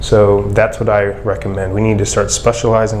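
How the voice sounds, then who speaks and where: There is noticeable background noise behind a man's speech. The room echo is audible. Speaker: physical therapist, clinic owner. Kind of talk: interview answering a student's questions. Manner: monotone.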